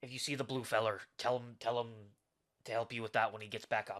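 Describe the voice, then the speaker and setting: A man puts on a raspy, gruff character voice at a medium pitch. He rattles along at a very fast pace with monotone, flat intonation. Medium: actual play. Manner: gruff, barking.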